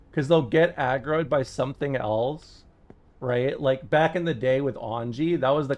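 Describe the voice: Ordinary pitch variation over plain reading aloud.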